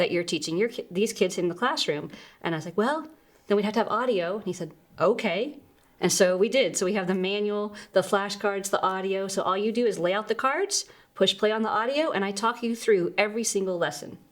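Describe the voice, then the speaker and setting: With an American accent, a woman talks at a fairly quick pace in a medium pitch, an ordinary speaking voice with lively intonation. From Texas. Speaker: Spanish teacher and curriculum author. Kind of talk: interview.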